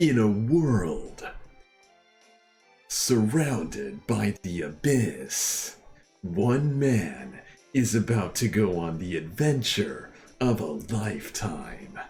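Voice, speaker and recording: A man puts on a dramatic character voice at medium pitch, moving at a very slow pace with long, frequent pauses. Faint music plays in the background. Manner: dramatic, epic.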